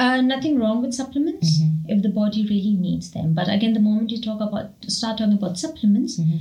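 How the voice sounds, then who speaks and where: A woman at a fairly high pitch, very fast with hardly any pauses and lively intonation, amid noticeable background noise and audible room echo. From India. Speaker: Ayurvedic practitioner and medical doctor. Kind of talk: interview.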